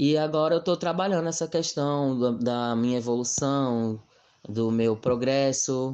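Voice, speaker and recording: Speaking fairly slowly with very even loudness and ordinary pitch variation, this is a plain, everyday voice. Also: man, medium pitch for a man. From Brazil, Mossoró. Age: 20s. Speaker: interviewee sharing LGBTQIA+ experience. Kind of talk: personal testimony.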